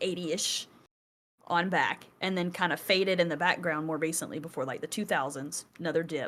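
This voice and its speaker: A woman with a Southern US accent and fairly low pitch. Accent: Southern US twang. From US South. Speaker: podcast co-host. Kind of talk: casual chat. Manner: animated, conversational with fillers.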